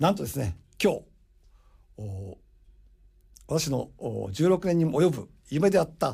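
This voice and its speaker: Very slow, fairly high-pitched male voice with a dark, mellow tone, vocal fry, very wide pitch swings and long, frequent pauses. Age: 60s. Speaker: radio host and import business consultant. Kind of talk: radio monologue. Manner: animated.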